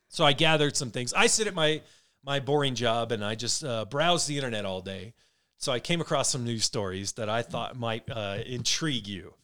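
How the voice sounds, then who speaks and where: On a very clean recording with a silent background, a man talks at a fairly quick pace and medium pitch, his tone bright and sharp and his intonation lively. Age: 40s. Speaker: podcast co-host. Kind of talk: casual chat.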